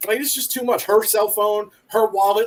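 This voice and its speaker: A man speaks at a very fast pace in a high voice. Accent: American. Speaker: military veteran. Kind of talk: casual chat.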